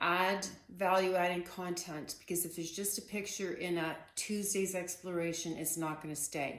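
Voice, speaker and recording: A woman's fairly low voice at a moderate pace, monotone and flat, with hardly any pauses and audible room echo. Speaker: artist teaching painting. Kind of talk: casual tutorial. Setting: home art studio. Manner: soft-spoken, keeping voice down; hesitant, many fillers.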